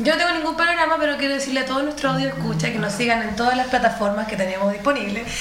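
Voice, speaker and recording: Over noticeable background noise, a woman's high-pitched voice moves with lively intonation. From Chile, Quillota. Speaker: radio co-host. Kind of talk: casual chat.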